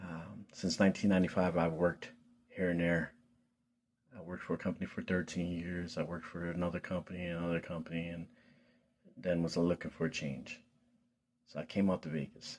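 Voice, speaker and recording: A man with a Philadelphia accent speaks in a very deep, low pitch. His intonation is monotone and flat, with long, frequent pauses. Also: fairly quick pace. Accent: Philadelphia American English. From Philadelphia, US Northeast. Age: 40s. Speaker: vlogger. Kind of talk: personal vlog testimony. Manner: casual, halting with fillers.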